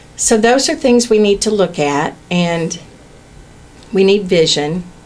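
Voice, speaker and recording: With an unremarkable speaking voice, a woman talks at a fairly slow pace in a medium pitch, her intonation lively and her loudness very even. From Indiana. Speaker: political candidate. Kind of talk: radio interview. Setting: radio studio.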